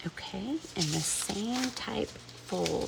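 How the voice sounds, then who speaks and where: A woman talks in an American accent amid noticeable background noise. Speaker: crafts tutorial maker. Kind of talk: tutorial. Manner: casual, chatty.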